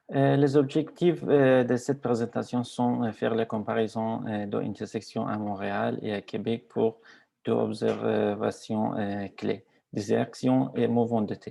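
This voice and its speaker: This man has a non-native accent. He speaks at a fairly slow pace. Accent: foreign accent in French. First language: not French (speaking French). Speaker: graduate student researcher. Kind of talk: conference presentation. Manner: halting, many hesitations.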